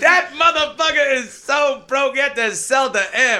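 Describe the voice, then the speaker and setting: In a raised, projected voice, a man speaks with an animated tone at an extremely high pitch, his pitch varying in an ordinary way over noticeable background noise. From Canada (moved from Sheffield at age five). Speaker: stand-up comedian. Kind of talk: casual podcast chat. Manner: animated, joking.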